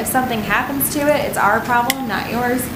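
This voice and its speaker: Speaking at a very fast pace, a woman uses a fairly high pitch. Audible room echo and noticeable background noise are present. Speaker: weather radar company representative. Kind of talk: presentation to city council. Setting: city council meeting. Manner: frequent fillers (um, uh).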